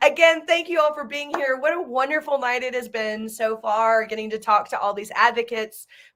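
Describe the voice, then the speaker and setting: A woman with a Southern US accent, lively intonation and a fairly quick pace on a very clean recording with a silent background. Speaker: nonprofit founder and event host. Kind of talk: live video event chat.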